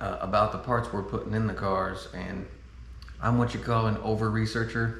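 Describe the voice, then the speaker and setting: Noticeable background noise surrounds a man's voice. His speech carries audible room echo. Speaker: car enthusiast video host. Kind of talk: product review tutorial. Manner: fast; animated.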